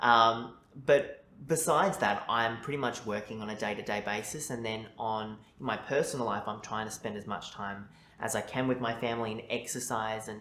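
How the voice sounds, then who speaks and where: With an Australian accent, a man speaks at a medium pitch with ordinary pitch variation. Audible room echo surrounds his voice. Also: moderate pace. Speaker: journalist. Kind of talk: mock speaking test interview.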